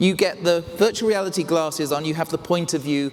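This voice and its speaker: With lively intonation and a fairly high voice, a man talks through noticeable background noise. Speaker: magazine editor, keynote speaker. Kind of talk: conference keynote. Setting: stage with audience.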